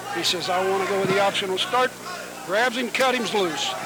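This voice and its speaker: Over crowd noise in the background, a man speaks in a raised, projected voice. His pitch is high and his tone animated. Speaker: wrestling commentator. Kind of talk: live commentary. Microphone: audio issues.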